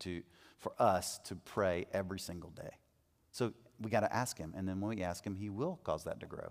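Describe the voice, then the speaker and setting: This man has a normal speaking voice with a fairly low pitch. He talks at a fairly quick pace with ordinary pitch variation. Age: 40s. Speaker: men's ministry teacher. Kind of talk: teaching talk to a men's group. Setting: in front of a live group. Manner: conversational.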